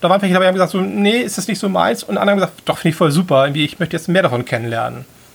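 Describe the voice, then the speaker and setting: A high-pitched man's voice at a very fast pace with lively intonation and hardly any pauses. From Hamburg, northern Germany. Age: 40s. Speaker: event organizer. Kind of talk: casual chat.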